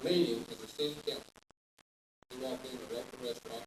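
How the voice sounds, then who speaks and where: Here a man speaks with a Southern US accent. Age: 60s. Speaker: roast speaker. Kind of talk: roast speech.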